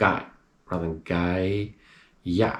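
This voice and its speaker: A man with a very deep, low pitch, at a very slow pace. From Australia. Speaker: English teacher. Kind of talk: tutorial. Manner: slow, clear enunciation.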